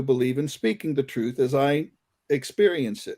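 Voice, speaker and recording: This very clean recording has a silent background and a man with a normal speaking voice. He talks at a moderate pace and a fairly high pitch, with ordinary pitch variation. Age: 60s. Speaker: concert musician and experiencer. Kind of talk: casual chat.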